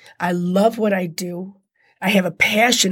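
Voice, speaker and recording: A woman speaks in an animated tone, her voice somewhat breathy. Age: 50s. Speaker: handbag designer and former prisoner. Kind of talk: interview, personal testimony.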